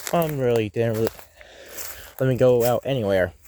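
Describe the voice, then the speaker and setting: Someone with an American accent talks at a moderate pace against noticeable background noise. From United States. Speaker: vlogger. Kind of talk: casual chat. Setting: outdoors. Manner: halting.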